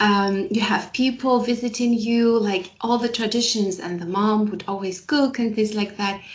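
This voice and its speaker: A woman's fairly high voice at a moderate pace, with fairly even intonation, hardly any pauses and noticeable background noise. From Algeria. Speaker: guest. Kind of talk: casual chat. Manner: halting.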